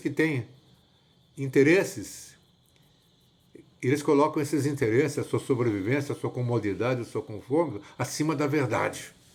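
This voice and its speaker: On a very clean recording with a silent background, a man with a fairly high pitch speaks at a moderate pace, his intonation lively and his voice somewhat breathy. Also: long, frequent pauses. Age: 70s. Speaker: evangelist. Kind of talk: sermon-like monologue. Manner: repetitive, halting.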